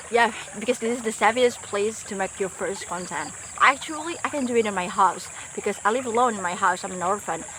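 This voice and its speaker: Speaking at a fairly quick pace with a non-native accent, a woman uses a fairly high pitch and ordinary pitch variation over noticeable background noise. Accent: non-native English speaker. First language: not English. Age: 20s. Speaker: vlogger. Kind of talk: casual vlog monologue. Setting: outdoors by a forest river. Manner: halting, self-correcting.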